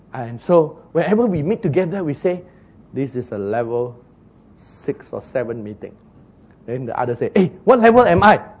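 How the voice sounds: Speaking at a moderate pace, a man with a fairly high pitch and a slightly husky edge makes big pitch swings.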